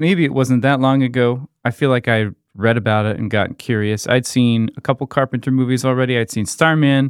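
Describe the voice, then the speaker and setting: A man with a plain, everyday voice, fairly quick pace, fairly even intonation and hardly any pauses. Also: medium pitch for a man. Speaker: podcast co-host. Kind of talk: casual chat.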